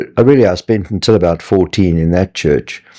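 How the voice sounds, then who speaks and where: In a South African accent, a man speaks at a moderate pace with a very deep, low pitch, a dark, mellow tone and ordinary pitch variation. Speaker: retired scientist and Bible teacher. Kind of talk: interview testimony.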